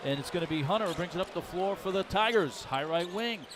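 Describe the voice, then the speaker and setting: Noticeable background noise sits behind a man who speaks at a fairly quick pace with ordinary pitch variation. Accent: American. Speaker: play-by-play announcer. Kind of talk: live commentary. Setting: broadcast booth. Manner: fast.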